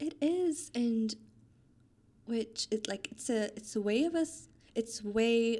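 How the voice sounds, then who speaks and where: A woman speaks at a very slow pace with a dark, mellow tone and long, frequent pauses. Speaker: trainee doctor and pilates instructor. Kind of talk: casual interview chat. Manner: calm.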